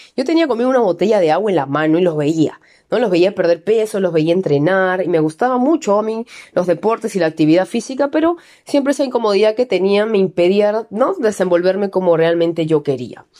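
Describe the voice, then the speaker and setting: A woman's medium-pitched voice, dark and mellow in tone, at a fairly quick pace with lively intonation and very even loudness. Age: 20s. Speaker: keto nutrition coach and trainer. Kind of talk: personal testimony monologue.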